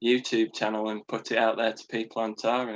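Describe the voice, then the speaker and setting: In a Yorkshire accent, a man speaks at medium pitch and a moderate pace against a quiet background. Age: 20s. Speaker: podcast guest, musician. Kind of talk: casual chat.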